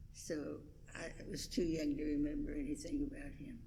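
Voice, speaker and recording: A woman with an American accent, somewhat breathy and with a dark, mellow tone, at a fairly slow pace with audible room echo. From West Virginia, Huntington. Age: 90s. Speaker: longtime church member. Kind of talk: oral history interview. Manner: halting.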